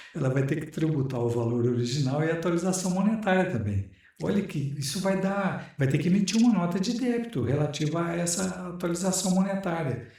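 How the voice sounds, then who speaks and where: A man with a high voice speaks at a fairly quick pace with lively intonation and hardly any pauses, over noticeable background noise and audible room echo. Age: 60s. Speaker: retired tax auditor, business lawyer. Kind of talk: interview.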